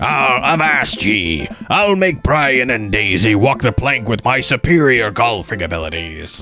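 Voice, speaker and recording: Using a put-on character voice, a man with a medium pitch talks at a moderate pace over clear background noise. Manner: boisterous, playful pirate talk.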